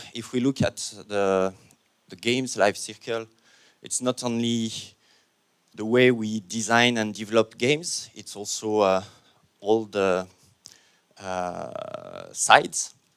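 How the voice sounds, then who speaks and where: A man's medium-pitched voice at a very slow pace, with long, frequent pauses, ordinary pitch variation and big swings in loudness, on a very clean recording with a silent background. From France. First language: French. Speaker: panel moderator. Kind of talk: conference panel introduction. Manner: hesitant, many fillers.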